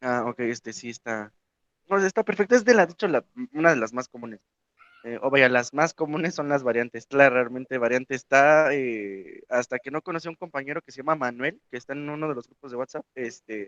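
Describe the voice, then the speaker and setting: A man at medium pitch and a fairly quick pace, ordinary pitch variation and big swings in loudness, in a dry, close sound with no echo. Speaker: Nahuatl learner and discussion regular. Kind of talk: online group discussion. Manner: hesitant, many fillers.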